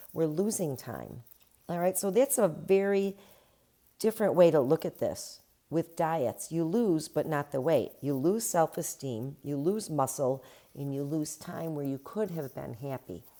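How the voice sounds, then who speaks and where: On a very clean recording with a silent background, a woman with a very deep, low pitch and a dark, mellow tone speaks fairly slowly with lively intonation. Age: 60s. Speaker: podcast host, midlife fitness coach. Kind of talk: solo podcast talk. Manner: conversational, unscripted.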